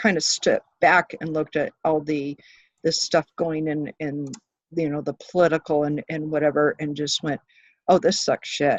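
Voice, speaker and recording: A woman with a very deep, low pitch talks at a moderate pace, her intonation fairly even. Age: 50s. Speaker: spiritual conspiracy enthusiast. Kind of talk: casual chat. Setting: video call. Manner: soft-spoken; halting.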